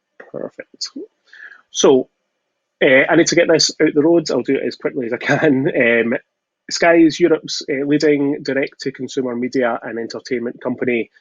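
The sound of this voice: In a Glaswegian accent, the voice moves at a moderate pace with ordinary pitch variation and a dry, close sound with no echo. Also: man, medium pitch for a man. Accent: Glaswegian Scottish.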